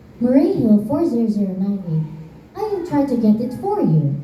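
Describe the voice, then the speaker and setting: A woman uses a put-on character voice at a fairly high pitch, with very wide pitch swings at a moderate pace. There is a slight echo and light background noise. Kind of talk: school play acting. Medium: stage play. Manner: formulaic, polite.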